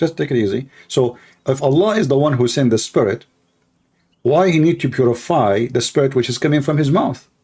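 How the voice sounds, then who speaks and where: A man's somewhat breathy, dark and mellow voice at a medium pitch, with ordinary pitch variation, a fairly quick pace and very even loudness. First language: Arabic. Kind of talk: heated debate. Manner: animated.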